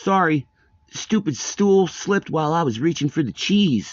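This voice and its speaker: A man speaks in a put-on character voice pitched high for a man. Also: moderate pace. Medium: read story. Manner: casual, goofy.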